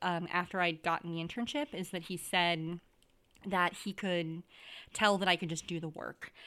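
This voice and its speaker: On a very clean recording with a silent background, a woman speaks at a moderate pace. Her tone is bright and sharp, her pitch fairly low, with ordinary pitch variation. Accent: American. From Wisconsin. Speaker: podcast co-host, themed entertainment designer. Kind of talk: casual chat.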